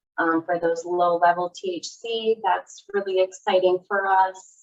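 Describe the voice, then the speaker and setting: A woman with a slight Midwestern accent talks at a moderate pace in a monotone, flat intonation. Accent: slight Midwest. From US Midwest. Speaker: laboratory liaison. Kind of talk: interview. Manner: calm cadence; hesitant fillers.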